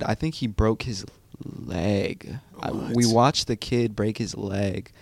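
Using a normal speaking voice, a man talks at a fairly slow pace and medium pitch. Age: 20s. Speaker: college student and former football player. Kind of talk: casual chat.

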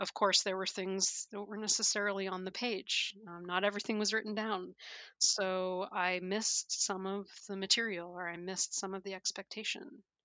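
A woman's medium-pitched voice with a Canadian accent, bright and sharp in tone, monotone and flat, at a moderate pace, dry and close with no echo. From Canada. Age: 40s. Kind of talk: interview conversation.

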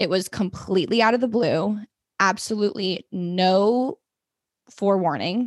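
A woman speaks in a normal speaking voice at medium pitch and a moderate pace. Her loudness stays very even, with ordinary pitch variation. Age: 20s. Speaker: podcaster and digital marketer. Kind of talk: casual chat.

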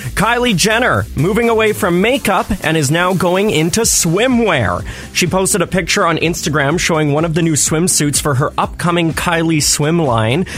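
With music in the background, a man with a high pitch speaks in an upbeat tone with lively intonation, very even loudness and hardly any pauses. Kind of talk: radio co-host banter, quick back-and-forth chat on a morning show. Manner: upbeat, chatty, good-humoured, laughing along.

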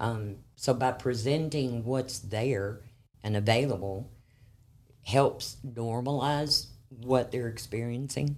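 A woman with an American accent, a very deep, low pitch and a very slow pace. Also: ordinary pitch variation. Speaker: crisis services manager. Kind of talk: interview. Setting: studio.

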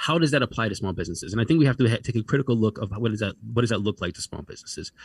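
A man talks with an American accent. The recording is very clean with a silent background, dry and close with no echo. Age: 40s. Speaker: congressional candidate. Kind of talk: interview.

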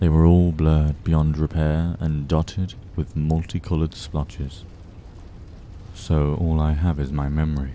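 A man speaks in a very deep, low pitch with a dark, mellow tone and a flat, monotone delivery. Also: moderate pace. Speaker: podcast storyteller reading creepypastas. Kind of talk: horror story narration, reading aloud.

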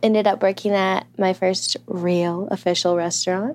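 On a very clean recording with a silent background, a woman with an American accent talks in a normal speaking voice at medium pitch and a fairly slow pace. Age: 20s. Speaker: restaurant worker. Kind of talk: interview.

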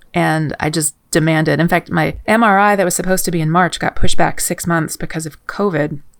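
There is vocal fry in this woman's fairly low voice. She talks at a fairly quick pace. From Kentucky, Louisville. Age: 40s. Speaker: musician and composer. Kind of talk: casual interview.

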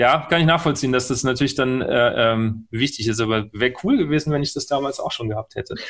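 Medium pitch and ordinary pitch variation from a man with an unremarkable speaking voice. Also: fairly quick pace, hardly any pauses. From central Germany. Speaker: podcast host and trumpeter. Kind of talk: interview.

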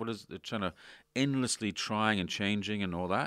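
A man's fairly low, lively voice at a fairly quick pace, an ordinary speaking voice on a very clean recording with a silent background. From Canada. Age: 50s. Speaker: podcast host. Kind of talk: interview. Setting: in person.

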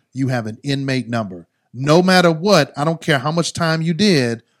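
Delivered at a moderate pace, a normal speaking voice carries lively intonation. The recording is very clean, with a silent background. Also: man. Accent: American. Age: 40s. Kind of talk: casual interview chat.

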